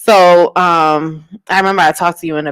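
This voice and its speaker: An unremarkable speaking voice comes through with a dry, close sound and no echo. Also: woman. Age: 30s. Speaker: radio show host. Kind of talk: casual interview chat.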